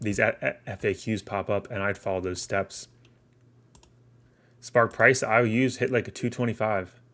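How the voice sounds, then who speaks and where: In a raspy, put-on character voice, a man of medium pitch talks at a moderate pace with fairly even intonation and long, frequent pauses. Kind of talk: casual, informal stream.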